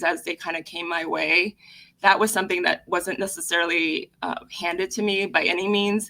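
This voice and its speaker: In a very clean recording with a silent background, a woman with a Spanish accent speaks at a moderate pace. Her tone is bright and sharp, her pitch medium and her intonation fairly even. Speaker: lawyer. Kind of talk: interview. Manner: hesitant, many fillers.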